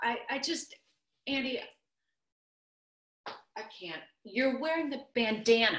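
Raised and projected, a woman's high-pitched voice moves fairly slowly through very wide pitch swings. Light background noise and audible room echo fill the recording. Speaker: actor. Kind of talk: scripted virtual theater monologue, couple bickering over video call. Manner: exasperated, sarcastic, argumentative. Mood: flustered, upset, defensive. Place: kitchen. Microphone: video call.

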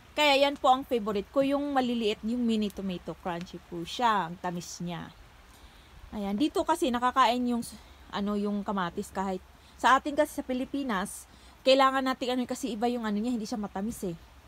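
A woman's normal speaking voice, fairly high-pitched and lively in intonation, at a fairly quick pace with a dry sound and no echo. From Philippines. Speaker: vlogger. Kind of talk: casual vlog narration. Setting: outdoors. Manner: casual, repetitive. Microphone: phone near.

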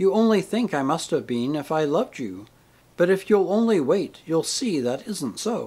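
Lively intonation in an unforced reading voice

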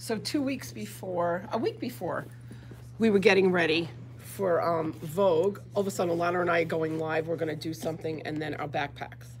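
An animated tone at a fairly quick pace over light background noise. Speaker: yarn shop owner and podcast host; podcast host. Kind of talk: casual chat, live video show. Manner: chatty, animated, laughing. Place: shop. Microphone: webcam.

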